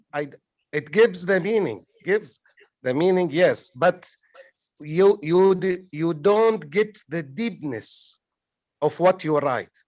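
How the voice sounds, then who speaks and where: A man with an Arabic accent, high in pitch with ordinary pitch variation, at a very slow pace with long, frequent pauses. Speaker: poet and author. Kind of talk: panel discussion. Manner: halting.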